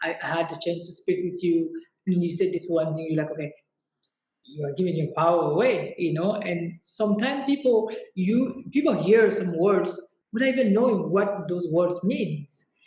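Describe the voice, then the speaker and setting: Her fairly low, somewhat breathy voice has a dark, mellow tone, and the woman moves at a moderate pace with lively intonation. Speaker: fashion entrepreneur. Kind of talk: interview conversation.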